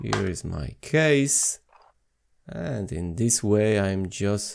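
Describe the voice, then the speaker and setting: A man with a non-native accent and a fairly low pitch speaks at a very slow pace with lively intonation. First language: not English. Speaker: watch repair youtuber. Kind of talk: tutorial. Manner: halting, many fillers.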